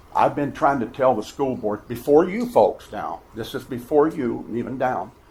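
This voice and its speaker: A somewhat breathy man speaks at a medium pitch and moderate pace with ordinary pitch variation. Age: 70s. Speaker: drywall contractor. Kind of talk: public comment at meeting. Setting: school board meeting. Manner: animated.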